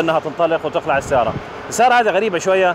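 There is noticeable background noise as a man speaks, the sound dry with no echo. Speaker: car reviewer. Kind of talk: car review commentary. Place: street.

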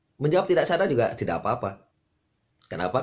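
A man talks in a playful tone and a somewhat breathy voice. His pitch swings very widely. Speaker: insurance sales coach. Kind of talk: tutorial on hypnotic language patterns, with a sales-pitch demonstration. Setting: video channel, direct address to the camera. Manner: persuasive, teacherly and friendly, with a playful, humorous tone. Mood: friendly, upbeat. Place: home room.

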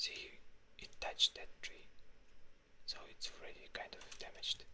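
Someone whispers at a moderate pace in a relaxed tone. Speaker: ASMR content creator. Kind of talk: gaming ASMR commentary to camera. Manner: quiet, relaxed, talking to viewers.

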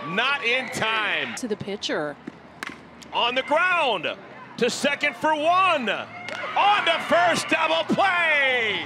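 A man speaks in a raised, projected voice at an extremely high pitch, very slowly. His intonation is lively, and background noise is noticeable. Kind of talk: live sports commentary. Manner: animated and playful, with laughs and quips.

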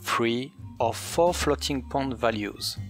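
With music playing in the background, a man speaks in a medium pitch with lively intonation and a non-native accent. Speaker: game developer / shader tutorial maker. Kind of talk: programming tutorial narration.

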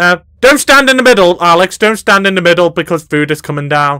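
With a British accent, a man uses a raised, projected voice with a bright, sharp tone and very wide pitch swings, recorded with a dry, close sound and no echo. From Britain. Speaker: gaming YouTuber. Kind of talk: gameplay commentary. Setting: voice chat. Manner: animated.

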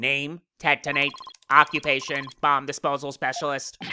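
This put-on character voice sounds robotic, with monotone, flat intonation. It sits at a low-to-middle pitch and moves at a moderate pace. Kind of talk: formal.

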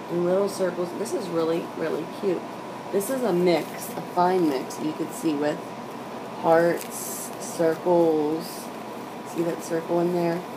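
Against noticeable background noise, a woman speaks with fairly even intonation and long, frequent pauses. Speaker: nail art YouTuber. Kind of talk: unboxing haul video. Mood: pleased, enthusiastic. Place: home room. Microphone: webcam.

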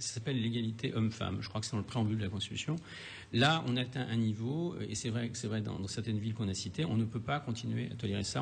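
The somewhat breathy voice moves at a fairly quick pace with ordinary pitch variation over light background noise. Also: man. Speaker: TV debate moderator. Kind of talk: televised political debate. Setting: TV studio. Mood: firm, indignant. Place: studio.

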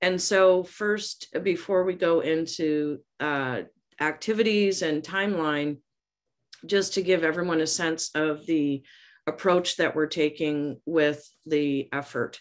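A woman talks at a very slow pace over a quiet background. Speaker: communications consultant presenter; presenter. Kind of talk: presentation and discussion. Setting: video call. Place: home room. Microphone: video call.

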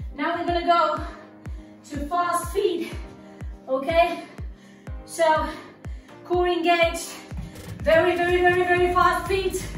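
With faint music in the background and audible room echo, a woman with an extremely high pitch speaks at a fairly slow pace in a monotone, flat intonation, leaving long, frequent pauses. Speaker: fitness instructor. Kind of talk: workout instruction. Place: gym. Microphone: camera far.

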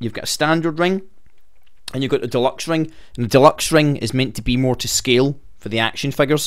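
The man's pitch varies in an ordinary way as he talks at a fairly quick pace. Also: quiet background. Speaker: wrestling fan news host. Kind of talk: casual news commentary.

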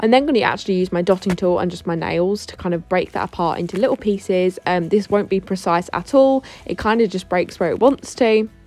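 Speaking at a fairly quick pace with hardly any pauses, a woman has a medium pitch and ordinary pitch variation. Noticeable background noise can be heard. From Essex, England. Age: 20s. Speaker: beauty therapist. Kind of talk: tutorial voice-over. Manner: casual.

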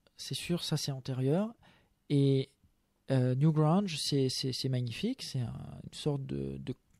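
A man's dark, mellow, fairly high voice at a very slow pace, with ordinary pitch variation, dry, close sound with no echo and a very clean recording over a silent background. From France (Savoie and Loiret). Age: 20s. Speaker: author and English teacher. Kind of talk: radio interview. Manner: hesitant, many fillers.

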